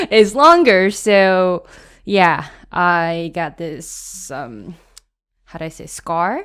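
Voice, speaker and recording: Lively in intonation, a woman with a Japanese accent speaks at a very slow pace with big swings in loudness, on a very clean recording with a silent background. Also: fairly low pitch for a woman. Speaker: podcast co-host. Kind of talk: casual chat. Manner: halting, searching for words.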